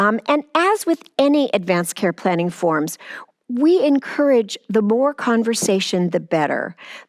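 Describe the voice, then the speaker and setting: On a very clean recording with a silent background and a dry, close sound with no echo, a woman with a plain, everyday voice speaks at a fairly high pitch and a fairly slow pace with lively intonation. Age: 60s. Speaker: palliative care outreach director. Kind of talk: interview.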